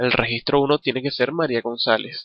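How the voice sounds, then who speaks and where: A man's medium-pitched voice moves at a moderate pace, its intonation monotone and flat. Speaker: programming instructor. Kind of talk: tutorial. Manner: halting.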